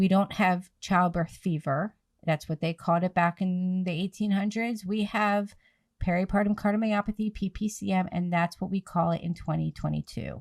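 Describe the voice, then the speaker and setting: A woman with a normal speaking voice and an American accent, medium in pitch, at a moderate pace with fairly even intonation, dry and close with no echo. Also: very clean recording, silent background. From New Jersey / Philadelphia area, US. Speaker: podcast host, nonprofit founder, PPCM survivor. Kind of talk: podcast interview, advocacy talk.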